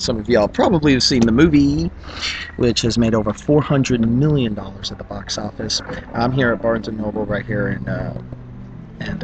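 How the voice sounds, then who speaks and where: Noticeable background noise sits behind a man who talks at a fairly quick pace with a fairly low pitch and very wide pitch swings. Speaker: YouTuber. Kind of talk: casual vlog commentary. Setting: bookstore, public place. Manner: quieter than usual.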